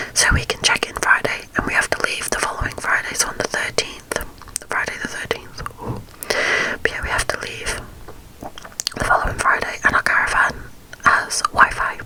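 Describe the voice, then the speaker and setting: In a British accent, a woman whispers at a moderate pace. Long, frequent pauses break her speech, and noticeable background noise is present. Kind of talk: ASMR whisper ramble to camera. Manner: whispered, soft-spoken, chatty.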